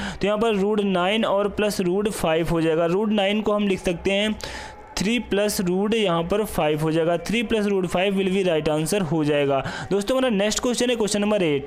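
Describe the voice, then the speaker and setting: Noticeable background noise and audible room echo surround a man's high-pitched voice. His loudness stays very even. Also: ordinary pitch variation, moderate pace. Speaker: math teacher. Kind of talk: lecture.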